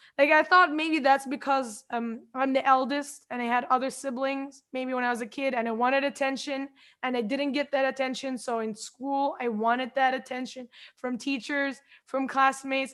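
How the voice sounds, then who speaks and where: This woman's voice is high and monotone, with flat intonation. The recording is very clean, with a silent background. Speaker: podcast host. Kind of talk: casual interview conversation. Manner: fast.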